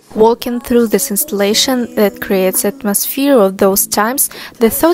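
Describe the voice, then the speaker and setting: A woman with a non-native accent and a fairly high pitch, moderate pace, ordinary pitch variation, and music in the background. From Russia. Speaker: travel vlogger. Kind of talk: travel vlog narration.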